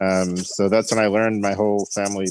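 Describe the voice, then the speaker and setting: On a very clean recording with a silent background, a man's fairly low voice carries fairly even intonation with a dry, close sound and no echo. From Long Island, New York. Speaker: farmer. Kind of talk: interview. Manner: halting.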